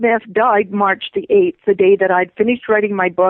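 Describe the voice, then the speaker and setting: The intonation is fairly even in this unremarkable speaking voice. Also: woman. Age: 60s. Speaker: author. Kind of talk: interview.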